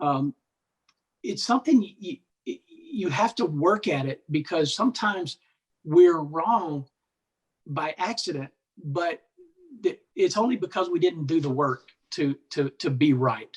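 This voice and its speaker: The man's voice sits at a high pitch with lively intonation, at a fairly slow pace broken by long, frequent pauses. The sound is dry and close, with no echo. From Alabama, US South. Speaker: military veteran and author. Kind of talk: podcast interview. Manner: halting, many fillers and repetitions.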